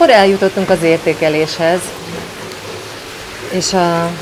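A woman speaks over noticeable background noise. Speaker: restaurant review vlogger. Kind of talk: casual vlog chat. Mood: cheerful, smiling. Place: cafe.

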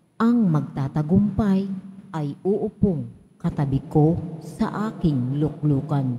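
A woman's very deep, low voice at a very slow pace. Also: ordinary pitch variation. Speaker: lay lector. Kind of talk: scripture reading aloud. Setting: church.

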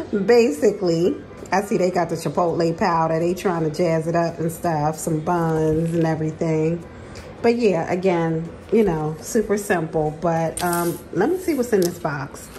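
The voice moves at a moderate pace. Light background noise sits behind it. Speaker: home vlogger. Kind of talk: casual vlog chat. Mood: relaxed, amused. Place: kitchen. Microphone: phone near.

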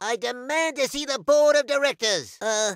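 A man performs a cartoonish character voice. He speaks at a fairly slow pace. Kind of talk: video game voice lines. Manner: polite, mild, easily worried.

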